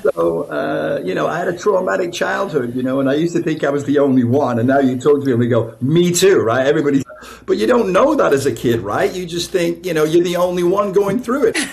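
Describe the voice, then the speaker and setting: Speaking with an American accent, a man goes at a very fast pace with hardly any pauses, fairly high in pitch with lively intonation. Noticeable background noise and audible room echo are present. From northern England, Blackpool. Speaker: author and spiritual counselor. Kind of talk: podcast interview, personal testimony. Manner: conversational, many fillers.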